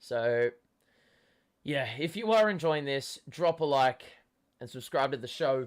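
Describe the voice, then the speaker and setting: With an Australian accent and lively intonation, the speaker moves at a fairly slow pace with long, frequent pauses on a very clean recording with a silent background. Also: man, fairly high pitch for a man. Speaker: sports fan streamer. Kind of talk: live watchalong commentary. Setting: live stream. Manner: animated.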